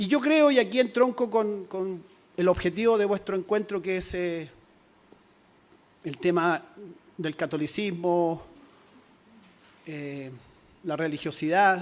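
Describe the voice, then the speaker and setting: At a very slow pace, a man speaks with long, frequent pauses. His pitch is high and his intonation lively. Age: 60s. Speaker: teachers' union leader. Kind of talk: conference speech.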